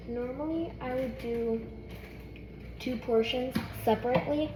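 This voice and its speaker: A woman's voice carries audible room echo, with music in the background. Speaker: cooking vlogger. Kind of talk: tutorial. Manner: fast.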